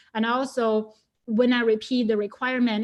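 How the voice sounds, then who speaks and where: A woman with a Chinese accent speaks at a fairly high pitch and a moderate pace in a monotone, flat manner over a quiet background. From China. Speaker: data scientist. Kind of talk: webinar talk. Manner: hesitant, many fillers.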